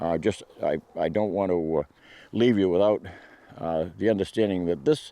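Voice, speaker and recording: A man talks with a very deep, low pitch and a dark, mellow tone. Long pauses come often. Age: 70s. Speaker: hunting and firearms video maker. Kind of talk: casual talk to camera. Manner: halting, many fillers and repeats.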